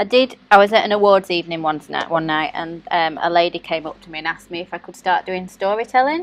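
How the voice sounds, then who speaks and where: Speaking very fast with hardly any pauses, a woman with a Yorkshire accent uses a fairly low pitch, ordinary pitch variation and big swings in loudness. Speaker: nail artist YouTuber. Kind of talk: casual chat. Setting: live stream.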